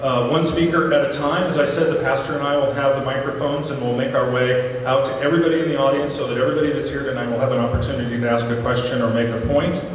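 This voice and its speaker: Delivered at a very fast pace with hardly any pauses and fairly even intonation, the voice carries strong room echo and light background noise. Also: man, fairly high pitch for a man. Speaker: town hall facilitator. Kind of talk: event moderation. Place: stage.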